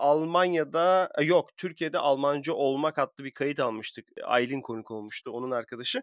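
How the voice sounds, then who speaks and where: A man with an ordinary speaking voice talks at a moderate pace with hardly any pauses, his fairly high pitch showing ordinary variation in a dry, close recording with no echo. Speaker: podcast host. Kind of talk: casual chat.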